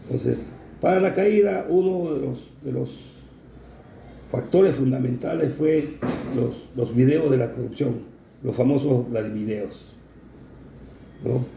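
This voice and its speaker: A man with a medium pitch speaks at a very slow pace with lively intonation, long, frequent pauses and audible room echo. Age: 60s. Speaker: navy veteran. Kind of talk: interview. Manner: halting, many fillers.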